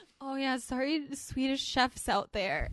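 A woman projects a raised, high-pitched voice with a bright, sharp tone. Her delivery has a playful tone. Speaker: podcast co-host. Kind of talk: casual banter between co-hosts. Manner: laughs often, playful.

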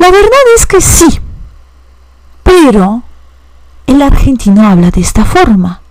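Very slow delivery with long, frequent pauses, very wide pitch swings and very even loudness, amid noticeable background noise and audible room echo. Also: woman, high pitch for a woman. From Poland, Warsaw. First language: Polish (speaking Spanish). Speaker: language teacher. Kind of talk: educational podcast monologue.

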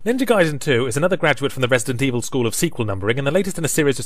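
Talking at a very fast pace, a man with an English accent uses lively intonation at a medium pitch. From England. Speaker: video game critic. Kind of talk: scripted narration.

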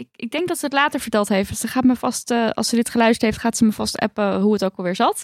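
A woman's fairly high voice, very fast, with hardly any pauses, ordinary pitch variation, and a dry, close sound with no echo. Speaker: podcast host. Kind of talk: casual chat.

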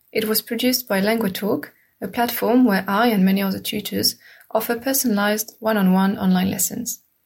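The voice is somewhat breathy, with fairly even intonation. The recording is very clean, with a silent background. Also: woman. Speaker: French language teacher and podcast host. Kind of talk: scripted intro and outro. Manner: slow.

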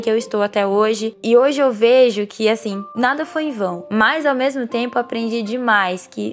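A woman talks at a fairly high pitch with fairly even intonation. Noticeable background noise is present. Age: 20s. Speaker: journalism graduate and cello student. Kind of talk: recorded personal testimony.

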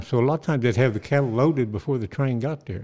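Talking very fast with lively intonation, a man speaks in an Oklahoma accent. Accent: Oklahoma rural Southern US. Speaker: podcast co-host, western historian and songwriter. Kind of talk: casual chat.

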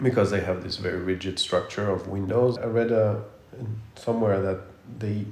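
A plain, everyday voice from a man, pitched in the middle, with normal shifts in pitch. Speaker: podcast host and architect. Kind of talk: casual interview conversation. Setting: studio podcast recording.

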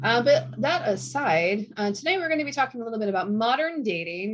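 A woman with an American accent speaks at a fairly quick pace with very wide pitch swings. Noticeable background noise runs under her voice. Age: 40s. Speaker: podcast host and writer. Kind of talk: casual chat.

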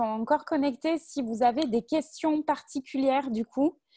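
High pitch from a woman with a strong southern French accent, a dark, mellow tone, and a moderate pace. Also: dry, close sound with no echo. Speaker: volunteer moderator. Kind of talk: moderating a panel. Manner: hesitant with many fillers.

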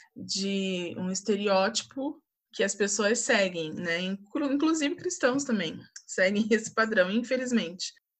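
Speaking at a very slow pace, a woman has a fairly high pitch. Her intonation is lively. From Brazil, Volta Redonda (Rio de Janeiro state). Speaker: TV station worker, communications graduate. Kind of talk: casual interview. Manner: halting, many fillers.

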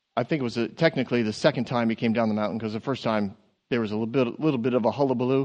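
The speech comes at a very fast pace. Its intonation is fairly even. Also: man, medium pitch for a man. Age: 50s. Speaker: pastor. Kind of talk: sermon. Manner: halting.

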